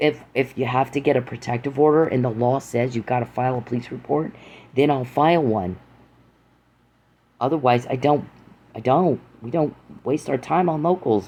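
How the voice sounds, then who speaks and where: A man speaks at a medium pitch with a dark, mellow tone and ordinary pitch variation. He leaves long, frequent pauses against a quiet background. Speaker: podcaster. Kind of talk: angry monologue. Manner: fast; loud.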